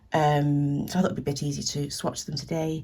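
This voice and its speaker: A woman speaks with a British accent in a dark, mellow tone that is somewhat breathy. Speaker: artist and small business owner. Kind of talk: art supply swatching tutorial.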